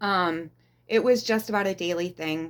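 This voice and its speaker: A woman speaks at a fairly slow pace in a normal speaking voice, with ordinary pitch variation, on a very clean recording with a silent background. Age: 40s. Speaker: abuse survivor sharing her story. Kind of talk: interview testimony.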